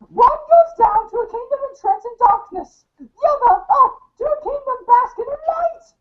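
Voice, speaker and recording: A squeaky, put-on character voice with an extremely high pitch and warm tone rattles along with hardly any pauses. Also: moderate pace. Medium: audio drama. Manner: warm, grandmotherly, calls the listener dear.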